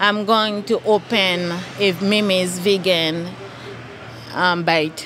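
Noticeable background noise behind a fairly even intonation. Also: woman. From Haiti. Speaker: small business owner. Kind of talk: interview.

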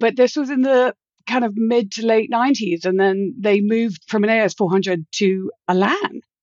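With a British accent, a woman speaks at a fairly high pitch and moderate pace with ordinary pitch variation. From Britain. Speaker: virtual security executive, consultant. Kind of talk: podcast interview.

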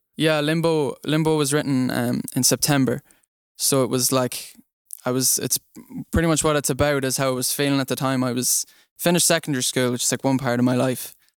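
Man with an Irish accent, medium pitch, fairly quick pace and monotone, flat intonation, in a dry, close sound with no echo. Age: young. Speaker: singer-songwriter, music student. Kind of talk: interview.

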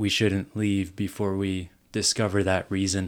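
This man talks at a fairly low pitch in a monotone, flat intonation. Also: very clean recording, silent background. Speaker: campus ministry intern. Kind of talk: casual interview conversation.

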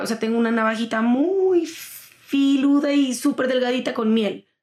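Her delivery moves at a moderate speed. This woman's pitch rises and falls by an ordinary amount. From Colombia, Pasto (Nariño). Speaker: singer-songwriter. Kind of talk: interview.

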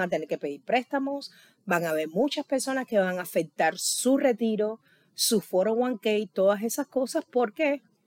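A woman with a fairly high pitch speaks at a moderate pace, her pitch swinging very widely. The recording is very clean and dry, with a silent background and no echo. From Cuba. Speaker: Cuban immigrant interviewee. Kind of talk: interview. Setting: late-night recording.

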